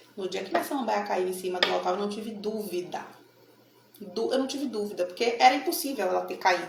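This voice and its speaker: A woman's animated, medium-pitched voice with lively intonation and a Bahian accent, amid noticeable background noise and audible room echo. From Bahia, Brazil (Salvador). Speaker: tarot card reader. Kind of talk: casual talk to camera.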